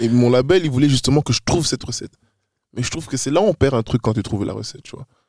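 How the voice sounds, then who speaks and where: The sound is dry and close with no echo as a man of medium pitch talks at a very fast pace in an animated tone. His loudness swings widely while his pitch variation stays ordinary. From Brussels, Belgium. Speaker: rap artist. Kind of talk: casual chat.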